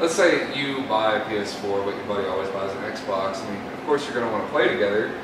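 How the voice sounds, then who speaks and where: The speech moves at a fairly quick pace. Audible room echo and noticeable background noise are present. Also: man. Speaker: hookah lounge worker and co-host. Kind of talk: casual chat. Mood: relaxed, chatty. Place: bar.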